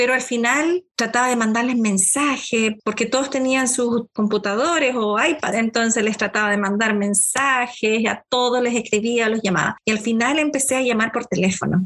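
A woman with an unremarkable speaking voice talks at a fairly high pitch, with ordinary pitch variation and very even loudness. She speaks with hardly any pauses. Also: moderate pace. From Chile, Concepción. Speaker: school counselor. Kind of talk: podcast interview.

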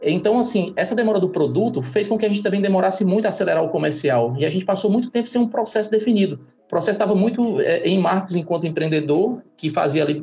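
A man speaks at a very fast pace with hardly any pauses. His pitch is high, with ordinary variation and very even loudness. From Ceará, Brazil. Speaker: startup founder. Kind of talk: interview. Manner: halting, repeats words.

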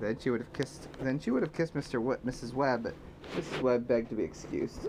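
A natural read-aloud voice, its pitch varying in an ordinary way

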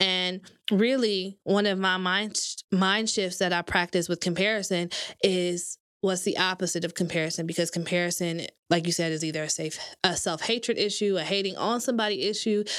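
A woman with an American accent speaks at a fairly quick pace in an unremarkable speaking voice. Her medium pitch and fairly even intonation sit in a very clean recording with a silent background. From Michigan, Grand Rapids. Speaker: content writer. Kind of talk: casual chat. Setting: studio.

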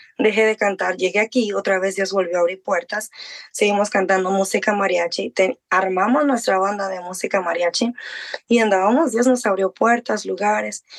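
A woman's unremarkable speaking voice, medium in pitch, at a moderate pace with fairly even intonation and a dry, close sound with no echo. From Mexico. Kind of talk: interview testimony.

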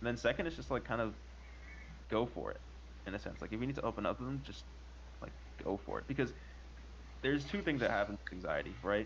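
A man with vocal fry and a fairly low pitch talks at a very fast pace, with very wide pitch swings broken by long, frequent pauses. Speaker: podcast co-host. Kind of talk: casual group chat about anxiety.

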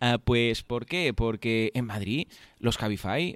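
Recorded very cleanly with a silent background, a man's medium-pitched voice sounds dry and close with no echo. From Catalonia. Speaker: podcast host. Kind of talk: casual chat. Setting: hotel room. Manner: fast.

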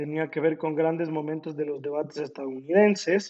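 A man with a fairly high pitch. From Ecuador, Ambato. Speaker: law student. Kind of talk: project presentation. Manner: halting, frequent repetitions.

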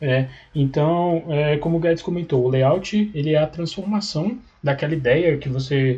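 A man's somewhat breathy, dark, mellow voice at a moderate pace, with ordinary pitch variation. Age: 20s. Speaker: engineering student. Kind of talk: casual interview. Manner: hesitant, many fillers.

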